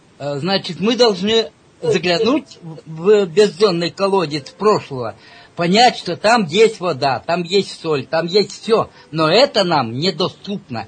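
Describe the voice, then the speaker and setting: Using lively intonation, a man with a high pitch speaks at a very slow pace. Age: old. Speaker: self-described scientist and mathematician. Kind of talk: interview. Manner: hesitant, with frequent filler sounds.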